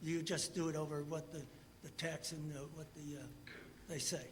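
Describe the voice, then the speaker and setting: Audible room echo surrounds a high-pitched man talking at a fairly quick pace. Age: 80s+. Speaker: resident speaking at public hearing. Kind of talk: public comment. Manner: halting.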